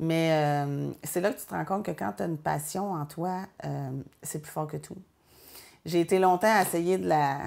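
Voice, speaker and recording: The speaker goes at a fairly slow pace with long, frequent pauses, ordinary pitch variation and big swings in loudness, over a quiet background. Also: woman, very deep, low pitch for a woman. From Quebec, Joliette region; Quebec. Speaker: painter. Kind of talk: interview. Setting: art studio. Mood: warm, reflective. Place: workshop.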